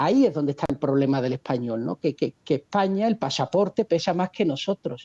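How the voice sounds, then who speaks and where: A man with a fairly high pitch and a dark, mellow tone talks at a fairly quick pace with lively intonation and hardly any pauses, in a dry, close sound with no echo. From Seville, Andalusia, Spain. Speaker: economist, video creator. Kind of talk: interview.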